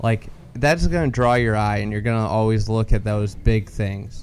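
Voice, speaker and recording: A man's fairly low, normal speaking voice with an American accent at a fairly quick pace. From Chicago area, Illinois. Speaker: golf media founder and podcaster. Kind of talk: live podcast interview. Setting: at a country club after a tournament round.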